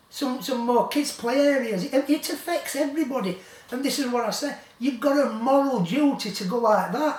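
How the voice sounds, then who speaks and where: A man with a West Yorkshire accent at an extremely high pitch, moderate pace and ordinary pitch variation, over noticeable background noise. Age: 70s. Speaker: local campaigner vlogger. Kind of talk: rant to camera. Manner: animated; halting.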